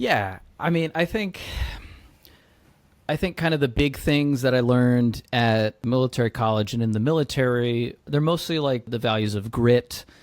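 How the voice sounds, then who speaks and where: A man with an American accent speaks at a moderate pace in an unremarkable speaking voice, medium in pitch with ordinary pitch variation. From US South, Georgia near Atlanta. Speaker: startup founder, military veteran. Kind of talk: podcast interview. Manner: casual, filler-heavy.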